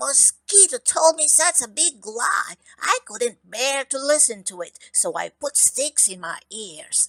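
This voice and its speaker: In a put-on character voice, a woman speaks high with very wide pitch swings at a fairly slow pace. The sound is dry and close, with no echo. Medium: read story.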